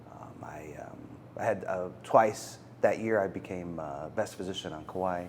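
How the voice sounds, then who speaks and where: Amid audible room echo, a man with a very deep, low pitch talks at a fairly slow pace with fairly even intonation and big swings in loudness. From US, Macedonian immigrant family. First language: Macedonian. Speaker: physician. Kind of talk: interview.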